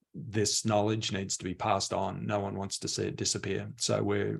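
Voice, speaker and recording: A man in an Australian accent with vocal fry, at a moderate pace. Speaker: mainframe industry expert. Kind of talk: panel discussion.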